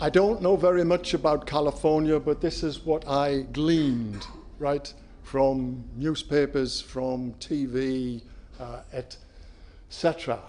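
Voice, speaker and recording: A man's fairly high voice with a dark, mellow tone, ordinary pitch variation and a very slow pace. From UK. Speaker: company CEO. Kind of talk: conference presentation.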